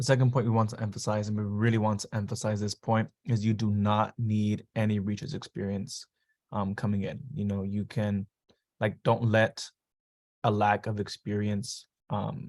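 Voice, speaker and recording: Recorded very cleanly against a silent background with a dry, close sound and no echo, a man uses a plain, everyday voice, fairly low in pitch, with fairly even intonation at a moderate pace. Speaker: university student. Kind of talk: panel presentation.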